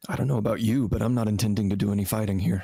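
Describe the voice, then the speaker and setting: A raspy put-on character voice rattles along at a very fast pace. The intonation stays fairly even. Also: man, fairly low pitch for a man. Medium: actual play.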